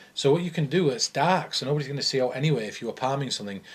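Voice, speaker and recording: Here a man with a northern English accent speaks at a very fast pace. His voice is fairly high and somewhat breathy, with ordinary pitch variation. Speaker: mentalist. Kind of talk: casual chat. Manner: animated.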